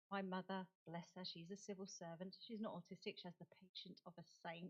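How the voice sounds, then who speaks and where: A woman with a British accent speaks fairly quickly at a medium pitch, her voice somewhat breathy. The intonation is monotone and flat, and the sound is dry and close with no echo. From United Kingdom. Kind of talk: conference talk. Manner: halting.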